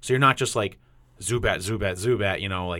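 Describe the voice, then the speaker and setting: On a very clean recording with a silent background, a man with a New England accent speaks fairly quickly in a bright, sharp tone with ordinary pitch variation. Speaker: podcast host. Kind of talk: casual chat.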